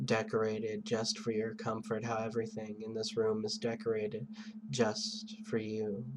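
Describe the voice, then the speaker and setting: Delivered at a fairly slow pace, the soothing tone comes through noticeable background noise. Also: man. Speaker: hypnotist. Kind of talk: hypnosis induction.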